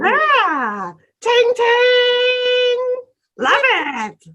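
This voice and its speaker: A woman performs a put-on character voice. Her pitch sits extremely high. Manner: excited, bubbly.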